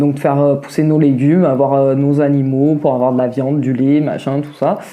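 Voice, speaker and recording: A woman talks at a fairly quick pace in a very deep, low pitch, her intonation flat and monotone, with audible room echo. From southern France (Vaucluse, near Mont Ventoux). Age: 30s. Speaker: interviewee, cook. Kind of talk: podcast interview. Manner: hesitant, many fillers.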